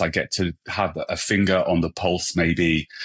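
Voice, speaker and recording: Against a quiet background, a man with a British accent speaks at a very deep, low pitch. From England. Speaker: hairstylist and brand ambassador. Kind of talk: podcast interview. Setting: podcast recording.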